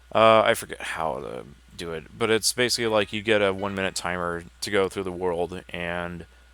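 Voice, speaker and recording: A man speaks at a moderate pace with a very deep, low pitch and a bright, sharp tone, recorded very cleanly against a silent background. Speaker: gaming livestreamer. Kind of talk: gameplay livestream commentary. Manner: casual, relaxed.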